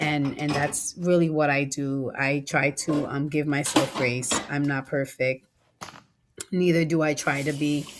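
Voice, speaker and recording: A woman's very deep, low voice in a monotone, flat intonation at a fairly slow pace. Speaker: lifestyle vlogger. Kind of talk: casual voiceover vlog. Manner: conversational, hesitant with many ums.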